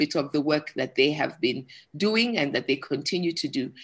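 A woman speaks at a moderate pace with lively intonation in a plain, everyday voice, against a quiet background. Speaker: forum moderator. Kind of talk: moderated panel discussion. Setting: online video call.

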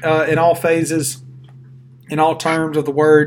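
A man's voice, high in pitch. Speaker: sports podcast co-host. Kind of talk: casual chat.

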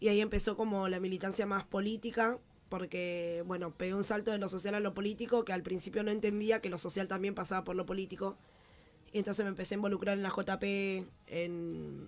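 A woman's medium-pitched voice stays monotone, with flat intonation. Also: fairly quick pace. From Buenos Aires, Argentina (Villa 21-24, Barracas). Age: 20s. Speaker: social activist. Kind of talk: interview.

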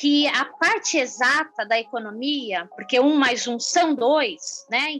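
Very slowly, a woman speaks at a high pitch with lively intonation. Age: 50s. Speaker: social entrepreneur. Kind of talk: interview.

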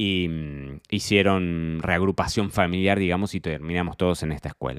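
A man's very deep, low voice with an Argentine accent at a fairly quick pace, dry and close with no echo, on a very clean recording with a silent background. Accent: Rioplatense Argentine Spanish. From Argentina, Buenos Aires province. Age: 30s. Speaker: wine sommelier and podcast host. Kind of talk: solo personal diary podcast. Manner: halting, frequent repetitions.

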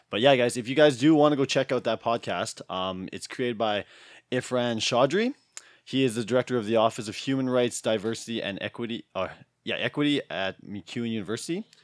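On a very clean recording with a silent background, a man with a Canadian accent and an unremarkable speaking voice talks fairly quickly at medium pitch with ordinary pitch variation. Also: dry, close sound with no echo. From Alberta, Canada. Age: 30s. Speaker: podcast host and gym worker. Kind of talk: casual chat; scripted show intro.

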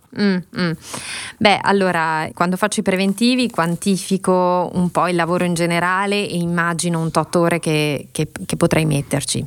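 Fairly low in pitch, a woman talks at a moderate pace with fairly even intonation in a plain, everyday voice. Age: 40s. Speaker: podcast co-host. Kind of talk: casual chat. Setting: video call.

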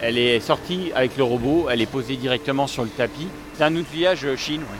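Over noticeable background noise, a man with a fairly high pitch talks at a fairly quick pace with ordinary pitch variation. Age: 40s. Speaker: company director. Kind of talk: factory tour explanation.

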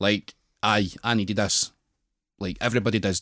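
The speaker talks with a Glasgow accent and fairly even intonation. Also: man. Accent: Scottish (Glasgow area). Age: 20s. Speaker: professional wrestler. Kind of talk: casual chat.

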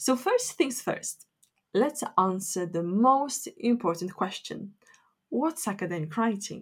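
Somewhat breathy and at a medium pitch, a woman with a Polish accent makes very wide pitch swings on a very clean recording with a silent background. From Poland. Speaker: academic writing teacher. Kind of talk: solo educational podcast.

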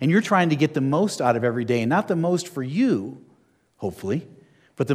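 Speaking fairly quickly with lively intonation, a man with an American accent uses a fairly high voice. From New Jersey. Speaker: airline pilot and minister. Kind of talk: sermon. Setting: church hall with audience.

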